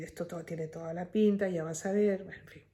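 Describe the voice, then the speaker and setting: With a dark, mellow tone, a woman speaks in a medium pitch with ordinary pitch variation. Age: 60s. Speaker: family caregiver vlogger. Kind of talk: personal vlog monologue.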